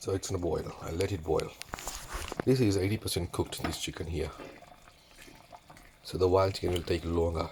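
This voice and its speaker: The speech runs at a fairly quick pace with fairly even intonation and long, frequent pauses over noticeable background noise. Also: man, very deep, low pitch for a man. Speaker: home cook. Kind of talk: cooking tutorial. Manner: casual.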